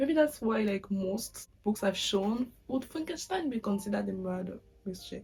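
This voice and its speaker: A woman with a French accent speaks at a fairly high pitch in a somewhat breathy voice. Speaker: booktuber. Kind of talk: casual vlog talk. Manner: casual, with filler words.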